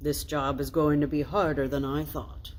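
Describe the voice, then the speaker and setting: A put-on character voice sits at a low-to-middle pitch. It moves at a moderate pace over clear background noise. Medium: read story. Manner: jolly, warm.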